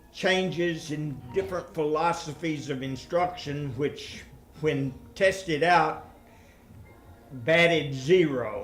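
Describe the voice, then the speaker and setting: Music plays in the background as a man with a fairly high pitch and ordinary pitch variation speaks at a very slow pace with audible room echo. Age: 70s. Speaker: retired mathematics professor giving a talk. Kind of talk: lecture. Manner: halting.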